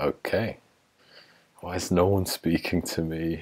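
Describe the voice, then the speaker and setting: In an English accent, a man with a very deep, low voice speaks with fairly even intonation against a quiet background. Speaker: YouTuber. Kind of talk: casual chat. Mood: joking, playful. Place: home room. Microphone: earbuds.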